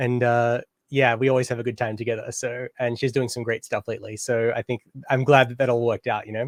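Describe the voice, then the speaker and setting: In an Australian accent, a man talks very fast with monotone, flat intonation, and the sound is dry and close with no echo. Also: medium pitch for a man. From Australia, Canberra. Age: 30s. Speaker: DJ and music producer. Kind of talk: interview. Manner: casual, hesitant with fillers.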